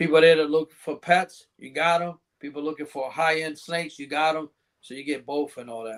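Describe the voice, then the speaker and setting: A man with a normal speaking voice, pitched fairly high, talks at a fairly quick pace. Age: 60s. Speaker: reptile breeder. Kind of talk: casual chat. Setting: live podcast.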